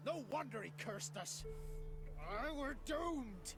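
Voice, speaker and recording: A man in a put-on character voice, high-pitched and fairly slow, over loud background noise. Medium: machinima.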